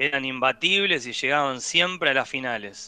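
A man's voice carries a bright, sharp tone and moves along at a moderate speed. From Argentina, Buenos Aires area (San Fernando). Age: 40s. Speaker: professional padel player and PE teacher. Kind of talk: radio interview.

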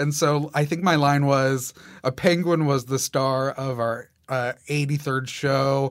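A man with an ordinary speaking voice talks at a fairly high pitch with fairly even intonation, on a very clean recording with a silent background. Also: fairly slow pace. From Massachusetts, US. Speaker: theater director. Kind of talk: casual interview.

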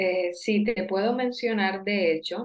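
Very slow, medium-pitched speech from a woman, its pitch varying in an ordinary way. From Colombian Caribbean coast (Sincelejo). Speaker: Colombian guest talking about her country. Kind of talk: interview.

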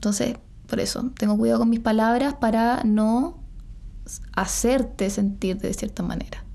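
The room's echo is audible as a woman speaks at a fairly slow pace in a fairly high pitch with fairly even intonation. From Chile. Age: 20s. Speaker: model. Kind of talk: casual chat.

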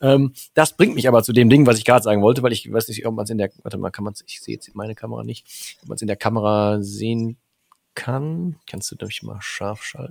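With a plain, everyday voice, a man at medium pitch talks at a fairly quick pace with ordinary pitch variation and big swings in loudness, in a dry, close sound with no echo. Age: 40s. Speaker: podcast host. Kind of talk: casual chat.

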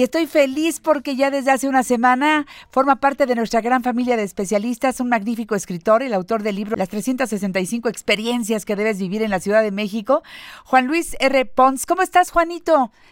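This woman speaks with a high pitch and lively intonation. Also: moderate pace, dry, close sound with no echo. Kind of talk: interview.

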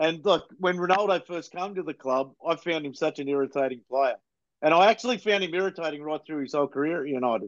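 A man speaks at a very fast pace with a fairly high pitch and ordinary pitch variation. The sound is dry and close with no echo, over a quiet background. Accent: Australian. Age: 40s. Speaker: football fan podcaster. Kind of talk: casual chat.

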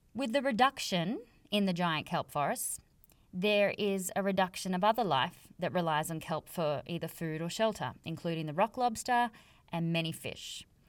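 Speaking in an Australian accent, a woman uses a medium pitch and lively intonation at a moderate pace in a very clean recording with a silent background. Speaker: podcast host, conservation biologist, yoga teacher. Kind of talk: solo educational podcast monologue.

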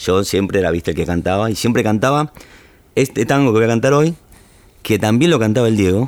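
In a Rioplatense accent, a man talks at a fairly quick pace and medium pitch, with lively intonation and very even loudness. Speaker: tango singer. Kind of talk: casual interview chat.

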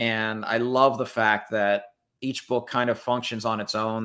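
A man with an American accent speaks at a moderate pace in a medium pitch, a plain, everyday voice. The recording is very clean, with a silent background. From Texas. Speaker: book youtuber. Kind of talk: casual chat. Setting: livestream.

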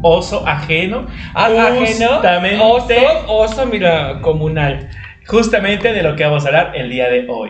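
A man's high-pitched, animated voice at a moderate pace, with very wide pitch swings, noticeable background noise and audible room echo. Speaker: podcast co-host. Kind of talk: casual chat.

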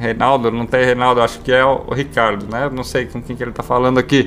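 Using an ordinary speaking voice, a man talks at a fairly quick pace and medium pitch with fairly even intonation. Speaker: radio host. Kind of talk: casual chat.

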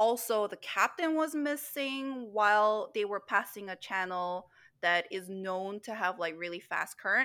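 She speaks in a Korean accent at a fairly slow pace and medium pitch. Her tone is bright and sharp, and her intonation is lively. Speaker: podcast co-host. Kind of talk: casual chat.

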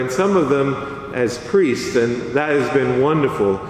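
Over noticeable background noise and audible room echo, a man with an American accent speaks at a moderate pace with lively intonation. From US South, south Louisiana (Acadiana). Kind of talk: homily. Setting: church.

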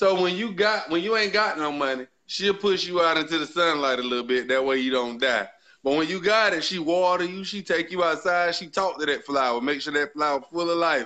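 With a bright, sharp, animated tone and high pitch, a man talks at a fairly quick pace with hardly any pauses. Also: ordinary pitch variation. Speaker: live stream host. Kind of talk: casual banter, heated debate. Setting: live stream, video call with chat comments. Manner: animated, loud, profane.

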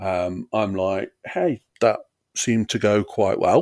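With an East Midlands accent, a man is heard in a dry, close recording with no echo. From Derbyshire, England. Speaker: comedian and comedy promoter. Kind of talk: casual chat. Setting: video call.

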